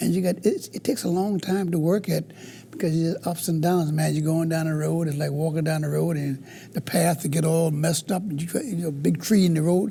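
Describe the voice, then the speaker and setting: With a Southern US accent, a man speaks at a high pitch with a dark, mellow tone. His intonation is fairly even and his pace fairly quick. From US South, Carolina. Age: 70s. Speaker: blues guitarist. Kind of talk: interview.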